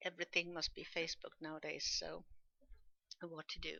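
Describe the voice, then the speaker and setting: At a moderate pace, a woman speaks with a Swedish accent. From Sweden. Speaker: podcaster. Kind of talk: casual monologue podcast.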